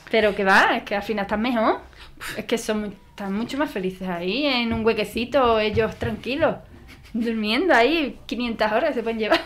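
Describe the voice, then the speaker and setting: At a moderate pace, a woman talks in a fairly high pitch with ordinary pitch variation. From Andalusia, Spain. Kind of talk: interview testimony.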